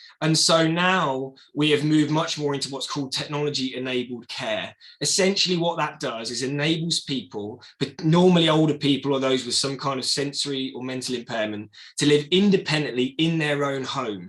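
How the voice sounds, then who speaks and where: Barely pausing, a man with an English accent speaks at a fairly quick pace, his fairly high voice showing ordinary pitch variation. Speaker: entrepreneur. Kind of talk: presentation. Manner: fast.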